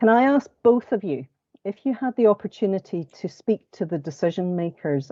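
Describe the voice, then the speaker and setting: In a Scottish accent, a woman talks at a moderate pace. Her intonation is lively. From Scotland. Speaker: panel moderator, law firm partner. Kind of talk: panel discussion moderation.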